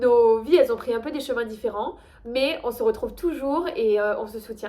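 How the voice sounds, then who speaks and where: Over noticeable background noise, a woman with a slight Toulouse accent talks at a moderate pace, high in pitch with lively intonation. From Toulouse, France. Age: 20s. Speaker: high-level kayak athlete. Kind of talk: casual talk to camera, casting video.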